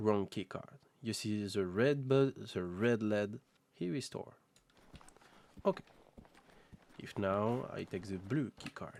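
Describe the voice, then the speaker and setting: In a French accent, a man with a fairly low pitch speaks at a very slow pace with long, frequent pauses. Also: ordinary pitch variation. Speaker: video game modder. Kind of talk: tutorial. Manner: halting.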